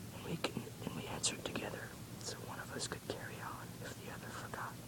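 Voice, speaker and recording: Someone whispers at a very fast pace amid noticeable background noise. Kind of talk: ASMR book reading. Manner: whispered, soft-spoken.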